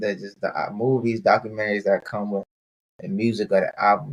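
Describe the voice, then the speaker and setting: A man with an American accent at a fairly quick pace, in a dry, close sound with no echo. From Maryland. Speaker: podcast host. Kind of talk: casual interview.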